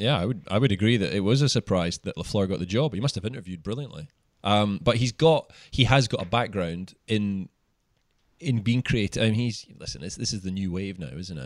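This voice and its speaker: On a very clean recording with a silent background, a man speaks fairly quickly in a fairly low pitch with lively intonation. He has a normal speaking voice, and the sound is dry and close with no echo. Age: 30s. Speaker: sports journalist. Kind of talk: casual chat.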